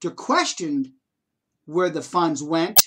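A man speaks at a moderate pace with lively intonation. The background is quiet. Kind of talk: personal testimony. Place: home room. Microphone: webcam.

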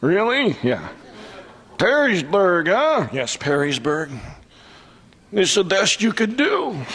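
A man's put-on character voice, high-pitched with very wide pitch swings, fairly slow with long, frequent pauses. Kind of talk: live comedy club performance.

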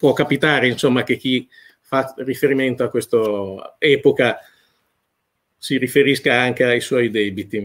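A man speaks at a fairly slow pace, with long, frequent pauses. His intonation is fairly even, and the background is quiet. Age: 50s. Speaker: food critic; interviewee. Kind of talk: interview. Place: home room.

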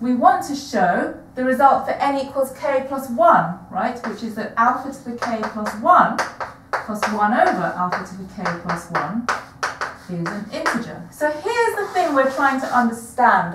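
A woman at a moderate pace, with audible room echo and noticeable background noise. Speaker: maths lecturer. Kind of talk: lecture. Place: classroom. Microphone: camera far.

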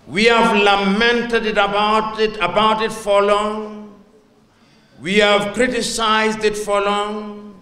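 The man uses a raised, projected voice at a very slow pace. Audible room echo surrounds him. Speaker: guest. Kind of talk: speech. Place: hall. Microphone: handheld.

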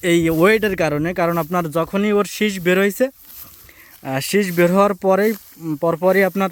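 Pitched high, a man's voice shows ordinary variation in its melody. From Bangladesh, Satkhira coastal area. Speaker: farmer and farming video host. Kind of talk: field tour walkthrough. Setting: outdoors in a rice field.

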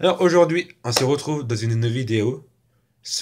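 Amid noticeable background noise, a man talks at a fairly slow pace in a somewhat breathy voice with lively intonation. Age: 20s. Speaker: youtuber; vlogger. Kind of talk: casual vlog monologue. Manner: halting, with repetitions. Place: home room. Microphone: phone near.

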